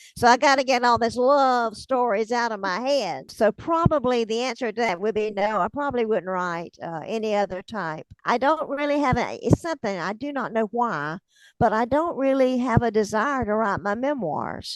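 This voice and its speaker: Over a quiet background, a woman with a strong Southern US accent talks at a fairly high pitch with lively intonation. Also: hardly any pauses, dry, close sound with no echo. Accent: thick Southern drawl. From US South, north Florida (Hamilton County). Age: 70s. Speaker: author, retired teacher. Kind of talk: interview. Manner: conversational.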